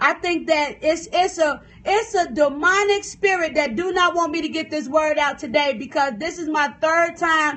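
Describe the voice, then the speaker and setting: A loud, animated woman with an American accent, high-pitched, at a fairly slow pace with ordinary pitch variation. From US South. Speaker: preacher and author. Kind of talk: livestream sermon. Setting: phone livestream. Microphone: phone stream freezing.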